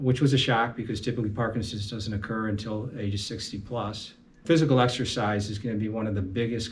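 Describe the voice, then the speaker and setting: Fairly quick, somewhat breathy speech from a man with a fairly low pitch and fairly even intonation. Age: 60s. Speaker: amateur boxer with Parkinson's. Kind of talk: interview testimony. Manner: halting.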